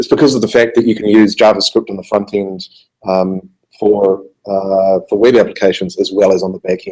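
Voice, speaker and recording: A man with a New Zealand accent speaks at a fairly quick pace in a fairly low, dark, mellow voice with fairly even intonation. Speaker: software developer. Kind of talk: conference talk. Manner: halting, many fillers.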